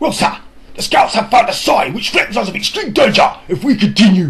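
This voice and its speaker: Putting on a character voice, a man speaks at a high pitch. His pace is fairly quick and his intonation lively. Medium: read story. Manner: formal, respectful.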